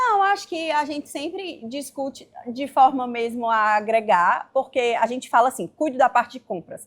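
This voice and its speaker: A high-pitched woman talks with lively intonation. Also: moderate pace, hardly any pauses. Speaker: businesswoman in fashion retail. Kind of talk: interview conversation.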